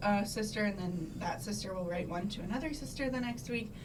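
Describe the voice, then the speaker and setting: A woman at medium pitch, with audible room echo and noticeable background noise. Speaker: sorority officer, college student. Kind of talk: casual interview. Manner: loud; hesitant fillers.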